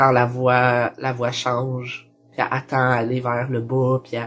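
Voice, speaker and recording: With music in the background, a man speaks at a medium pitch in a Quebec accent. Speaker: transgender vlogger. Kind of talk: personal vlog. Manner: casual, many fillers.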